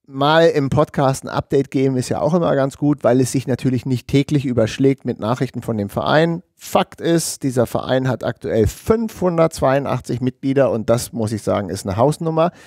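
Talking at a moderate pace with hardly any pauses, a man shows ordinary pitch variation in a dry sound with no echo against a quiet background. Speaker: podcast co-host. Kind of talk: podcast conversation. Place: studio. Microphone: headset.

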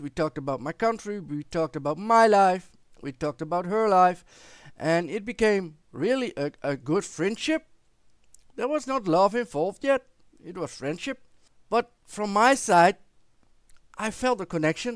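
A man's high voice with a Dutch accent and lively intonation, moderate in pace, with long, frequent pauses, a quiet background and dry sound with no echo. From Netherlands. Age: 40s. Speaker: vlogger. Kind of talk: personal storytelling to camera. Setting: recording at home with headset microphone. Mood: warm, reflective storytelling. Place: home room. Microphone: headset.

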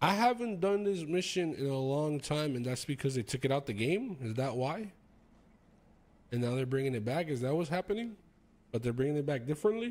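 A man talks with a fairly high pitch and very wide pitch swings. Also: fairly quick pace. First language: not English. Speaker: streamer. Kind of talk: live stream commentary. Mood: curious, questioning. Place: home room. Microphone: studio mic.

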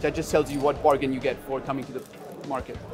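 A man at a very fast pace over clear music in the background. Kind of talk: interview answer. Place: market.

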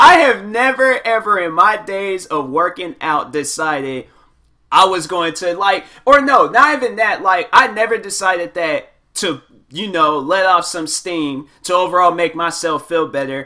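In a very clean recording with a silent background, a man speaks with a high pitch and a bright, sharp tone. His delivery is animated, with lively intonation at a fairly slow pace. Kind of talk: comedic commentary voiceover. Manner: casual, animated.

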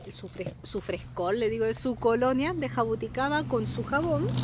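A woman talks at a moderate pace in an animated tone, with very wide pitch swings. The sound is dry with no echo, and there is noticeable background noise. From Chile. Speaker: beauty product sales consultant and vlogger; beauty product sales consultant, vlogger. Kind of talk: casual unboxing vlog. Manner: chatty, animated. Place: garden. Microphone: phone near.

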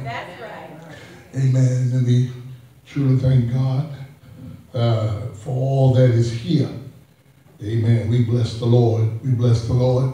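A man speaks very slowly in a monotone, flat way. Strong room echo and light background noise surround his voice. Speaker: pastor. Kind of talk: sermon. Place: church. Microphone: podium.

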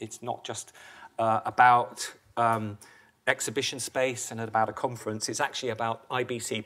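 Against a quiet background, a man with a normal speaking voice talks at a moderate pace and medium pitch. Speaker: industry advisor. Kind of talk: presentation. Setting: stage with audience. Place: hall. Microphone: podium.

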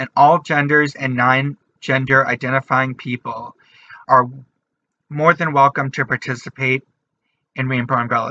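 Speaking at a moderate pace, a man uses a fairly high pitch and a bright, sharp tone with monotone, flat intonation. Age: 20s. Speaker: artist, writer and activist. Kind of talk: channel introduction to camera. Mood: warm, earnest. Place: home room. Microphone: webcam.

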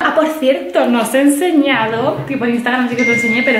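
A woman speaks at a fairly quick pace, with audible room echo.

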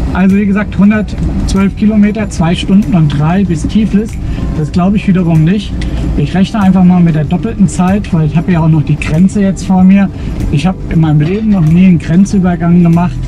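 A man speaks at a fairly quick pace with fairly even intonation and very even loudness, the sound dry with no echo and clear music playing in the background. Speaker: travel vlogger driving. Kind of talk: casual vlog chat. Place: car.

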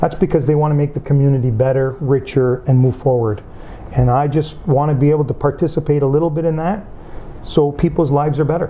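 A man with a fairly high pitch talks at a fairly quick pace with fairly even intonation. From Windsor, Ontario, Canada; Calabrian parents; Ontario. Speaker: union leader and community figure; interviewee. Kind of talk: interview. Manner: halting, with fillers. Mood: earnest, reflective. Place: home room.

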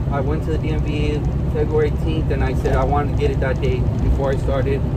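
A man talks at a moderate pace through loud background noise. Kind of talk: casual vlog chat. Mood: relaxed, positive. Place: car. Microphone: phone near.

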